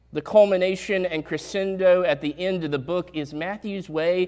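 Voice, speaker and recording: Speaking in a Southern US accent, a man uses a high pitch at a fairly slow pace. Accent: southern drawl. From US South, Statesville, North Carolina. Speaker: pastor. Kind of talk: sermon. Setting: church.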